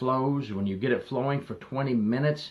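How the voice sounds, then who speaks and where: A man talks in a normal speaking voice at medium pitch with ordinary pitch variation. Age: 60s. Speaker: retired corrections officer. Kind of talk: advice monologue.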